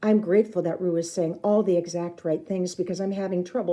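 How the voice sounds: Intonation stays fairly even in this natural reading voice.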